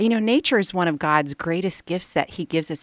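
A woman speaks with lively intonation at a fairly low pitch, in a plain, everyday voice. The sound is dry and close, with no echo. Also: very clean recording, silent background. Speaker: homeschooling mother and writer. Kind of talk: radio interview.

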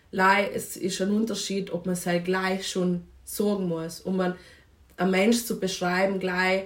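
Speech unfolds fairly slowly. The intonation stays monotone and flat. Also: woman. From South Tyrol, Italy (Vinschgau). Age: 20s. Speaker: anthropology student and feminist activist. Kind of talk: podcast interview. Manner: hesitant, many fillers.

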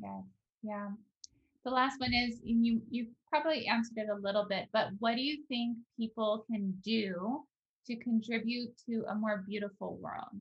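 Her voice somewhat breathy, a woman speaks at a fairly high pitch with fairly even intonation. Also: moderate pace. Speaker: podcast host. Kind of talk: casual conversation.

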